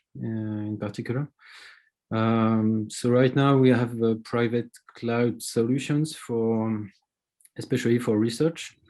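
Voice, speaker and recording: With a French accent, a man talks at a medium pitch in a dark, mellow tone. His intonation stays fairly even. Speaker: information security officer. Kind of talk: panel discussion. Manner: slower pace.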